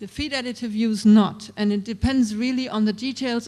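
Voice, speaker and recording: At a moderate pace, a speaker with a German accent talks against a quiet background. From Germany. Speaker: regulatory expert speaker. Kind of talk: Q&A answer at a seminar.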